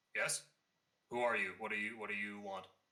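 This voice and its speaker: This man puts on a character voice, pitched fairly low and delivered at a fairly quick pace. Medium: actual play. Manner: guarded.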